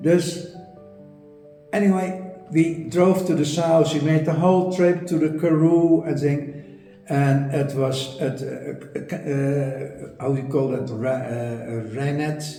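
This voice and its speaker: A man with a Dutch accent speaks at a very slow pace and a fairly high pitch. Music plays in the background, and the room echo is audible. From Netherlands. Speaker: art historian, property owner. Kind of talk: interview storytelling. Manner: halting, many repetitions and fillers.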